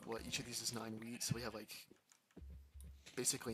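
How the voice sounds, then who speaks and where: Music plays behind a man's voice. He talks at a medium pitch with ordinary pitch variation. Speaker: gaming streamer. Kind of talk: live gameplay stream commentary. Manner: fast; casual, self-talking.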